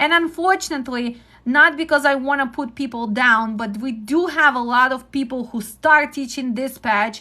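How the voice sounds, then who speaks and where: A woman's high, bright, sharp voice, raised and projected, with a Ukrainian accent, ordinary pitch variation, a moderate pace and hardly any pauses. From Ukraine. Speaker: trucking dispatch instructor. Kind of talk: live-stream teaching talk. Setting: live stream. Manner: direct.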